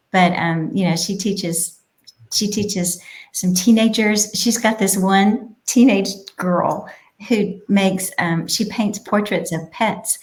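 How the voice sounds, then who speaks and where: Her voice has a somewhat breathy quality. The woman talks at a very slow pace. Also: medium pitch for a woman, fairly even intonation. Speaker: childcare business owner. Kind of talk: casual interview. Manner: quiet.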